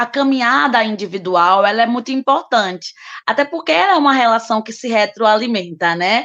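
In an ordinary speaking voice, the speaker keeps a moderate pace with lively intonation. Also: woman. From Recife, Brazil. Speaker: social work professor and activist. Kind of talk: panel discussion.

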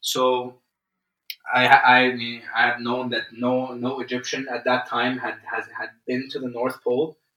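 This man speaks at a fairly slow pace and a medium pitch. His intonation is monotone and flat. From Egypt. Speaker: adventurer and record-breaking athlete. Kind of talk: interview conversation. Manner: halting, many fillers and repetitions.

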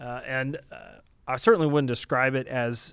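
A man at medium pitch with fairly even intonation and a moderate pace, on a very clean recording with a silent background. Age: 30s. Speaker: podcast host, data center industry analyst. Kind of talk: solo podcast monologue. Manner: casual, many filler words.

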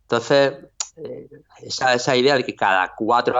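This man's medium-pitched voice holds a fairly even intonation. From Spain, Orihuela (Alicante). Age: 40s. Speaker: writer and music teacher. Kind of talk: interview. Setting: video call. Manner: halting.

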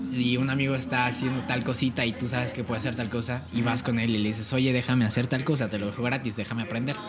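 Over background music and audible room echo, a man talks very fast at a medium pitch. His intonation stays fairly even. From Querétaro, Mexico. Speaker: singer-songwriter and music producer. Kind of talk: casual chat.

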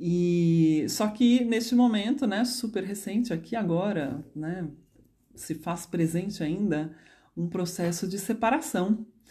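A woman speaks very slowly at a medium pitch, her intonation lively. Her tone is dark and mellow and somewhat breathy. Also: quiet background. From Brazil, São Paulo. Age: 30s. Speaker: psychologist and dance therapist. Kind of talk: personal storytelling monologue. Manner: spontaneous, unscripted.

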